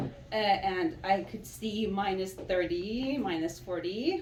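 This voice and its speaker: A woman speaks with very wide pitch swings. Her voice is somewhat breathy. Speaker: immigrant, psychology graduate. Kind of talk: public speech.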